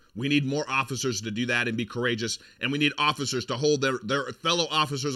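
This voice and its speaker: The man's voice has a medium pitch and a bright, sharp tone. He speaks at a fairly quick pace. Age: 40s. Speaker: political commentary podcast host. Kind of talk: sponsor plug; monologue commentary. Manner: animated.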